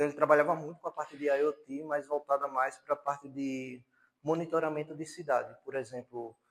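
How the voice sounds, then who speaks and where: At a fairly quick pace, a man speaks with a fairly high pitch. His intonation stays monotone and flat. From Paraíba, Brazil (João Pessoa). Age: 30s. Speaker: university lecturer. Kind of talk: lecture.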